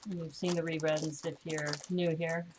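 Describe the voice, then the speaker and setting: The speaker talks at a moderate pace. There is noticeable background noise behind the voice. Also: woman. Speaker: LEGO building streamer. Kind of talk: live stream building chat. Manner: casual, chatty.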